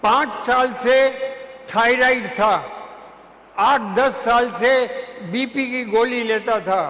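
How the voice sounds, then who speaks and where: Using a raised, projected voice at an extremely high pitch, a man speaks with fairly even intonation and long, frequent pauses over noticeable background noise and audible room echo. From Chhattisgarh, India. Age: 80s+. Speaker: retired advocate. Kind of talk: testimony. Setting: auditorium with audience.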